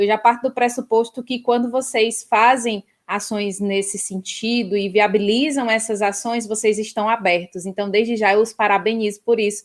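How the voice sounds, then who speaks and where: A woman's fairly high voice with a northeastern Brazilian accent, monotone, flat intonation, a moderate pace and hardly any pauses, on a very clean recording with a silent background. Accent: northeastern Brazilian (Ceará). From Ceará, Brazilian Northeast. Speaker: professor. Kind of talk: interview.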